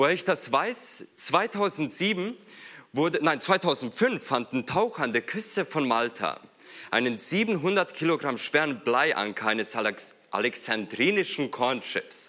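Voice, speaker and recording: Speaking at a very slow pace, a man with a fairly high pitch and a bright, sharp tone makes very wide pitch swings. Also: very even loudness. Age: 20s. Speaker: preacher / youth ministry worker. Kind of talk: sermon.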